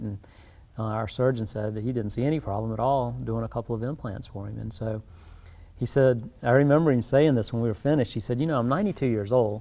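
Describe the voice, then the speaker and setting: A dark, mellow voice with a South Carolina accent talks at a very fast pace, its intonation fairly even. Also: man. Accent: South Carolina Southern. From US South, South Carolina low country. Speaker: dentist. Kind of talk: interview. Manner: calm, low-key.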